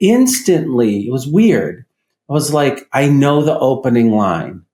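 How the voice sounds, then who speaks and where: This man has a normal speaking voice, medium in pitch, talking at a fairly slow pace with lively intonation. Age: 60s. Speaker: psychiatrist and trauma expert. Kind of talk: casual chat.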